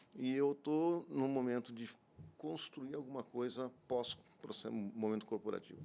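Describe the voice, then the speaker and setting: A man's dark, mellow voice moves at a fairly slow pace, at medium pitch with ordinary pitch variation. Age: 60s. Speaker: business executive. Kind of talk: podcast interview. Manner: halting.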